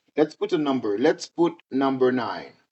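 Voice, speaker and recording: Speaking with a Haitian accent, a man has a fairly high pitch. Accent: Haitian Creole-accented English. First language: Haitian Creole. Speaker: teacher. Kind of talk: tutorial. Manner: halting, many fillers.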